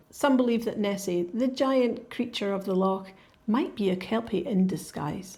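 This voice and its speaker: At a moderate pace, a woman with a Scottish accent speaks in a dark, mellow tone that is somewhat breathy. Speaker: podcast host. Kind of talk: educational podcast narration for English learners. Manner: clear, relaxed storytelling.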